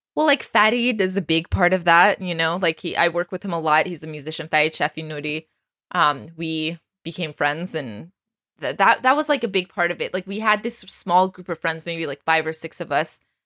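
A woman with an American accent and a bright, sharp tone speaks at a fairly low pitch and fairly quick pace, with ordinary pitch variation and a dry, close sound with no echo. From Texas, US. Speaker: podcast host. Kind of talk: interview. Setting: video call.

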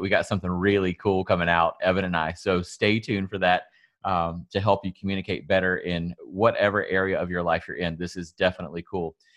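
Over a quiet background, a man with a Southern US accent speaks very fast in a very deep, low voice with fairly even intonation. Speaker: salon owner and podcast host. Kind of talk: casual podcast conversation.

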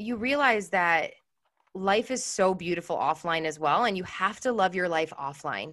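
A woman with an American accent has a normal speaking voice at a medium pitch. She keeps a moderate pace with lively intonation. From Chicago. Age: 30s. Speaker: entrepreneur. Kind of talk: casual chat.

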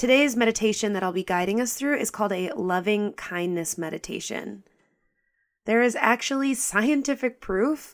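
In a very clean recording with a silent background, a woman speaks in a plain, everyday voice at medium pitch with ordinary pitch variation. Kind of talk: guided meditation. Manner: slow, soothing and gentle, with calm, unhurried pacing; soft-spoken and inviting, with a warm tone.

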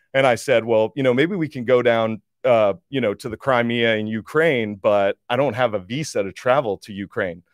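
A man's unremarkable speaking voice at medium pitch, moderate pace, ordinary pitch variation and hardly any pauses. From US Northeast (New Jersey). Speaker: energy investor. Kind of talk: casual chat. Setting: video studio.

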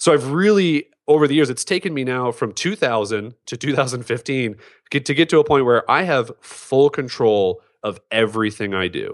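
A plain, everyday voice with lively intonation and big swings in loudness at a moderate pace, dry and close with no echo over a quiet background. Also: man, medium pitch for a man. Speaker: entrepreneur and author. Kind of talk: casual interview chat. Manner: informal, conversational.

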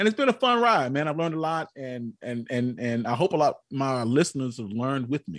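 A man with an American accent and an ordinary speaking voice talks at a fairly quick pace, medium in pitch with lively intonation, over a quiet background. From US South, North Carolina. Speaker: history podcaster. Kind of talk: casual interview.

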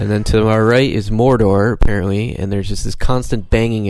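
With an American accent, a man speaks at a fairly quick pace and a fairly low pitch, with audible room echo. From upstate New York, Syracuse. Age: 30s. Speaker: stand-up comedian. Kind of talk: casual chat.

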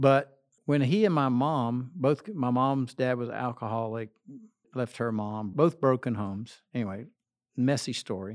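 A man speaks with a normal speaking voice at medium pitch and a moderate pace, with ordinary pitch variation. The recording is very clean, with a silent background. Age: 60s. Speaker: associate pastor. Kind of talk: interview.

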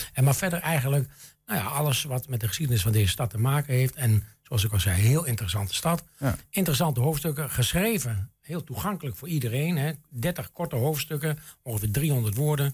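With lively intonation and a somewhat breathy sound, the man talks at a fairly quick pace. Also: medium pitch for a man. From Enschede, Twente, eastern Netherlands. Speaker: local history society chairman. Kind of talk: radio interview.

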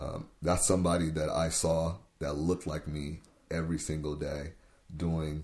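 An American accent marks this man's dark, mellow tone, pitched very deep and low and delivered in a flat monotone. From US Pacific Northwest, Tacoma, Washington. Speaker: youth worker. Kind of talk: interview. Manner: halting.

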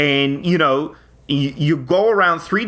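With a Long Island accent, a man speaks in a fairly high, bright and sharp voice with ordinary pitch variation, on a very clean recording with a silent background. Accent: Long Island, New York. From Long Island, New York. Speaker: comedy podcast co-host.

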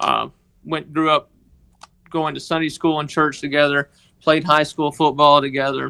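With a Southern US accent, a man speaks at a fairly high pitch in a bright, sharp tone at a moderate pace. His intonation is monotone and flat, broken by long, frequent pauses. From Mississippi, US South. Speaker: guest, sports equipment manager. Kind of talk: interview, personal testimony. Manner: halting, with many fillers.

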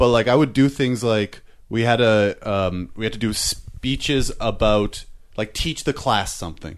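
A man talks at a fairly slow pace in a plain, everyday voice. The background is quiet. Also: medium pitch for a man, ordinary pitch variation. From Canada. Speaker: comedian. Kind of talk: casual chat.

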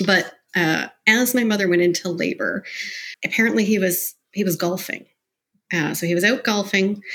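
A plain, everyday voice, a woman's medium pitch with a Canadian accent and fairly even intonation. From Canada, Mississauga near Toronto. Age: 40s. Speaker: entrepreneur and podcaster. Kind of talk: interview, personal life story.

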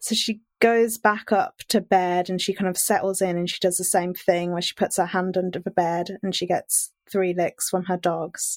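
In a normal speaking voice, a woman talks at a moderate pace and medium pitch, her sound dry and close with no echo, on a very clean recording with a silent background. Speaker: podcast presenter guest. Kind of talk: storytelling chat.

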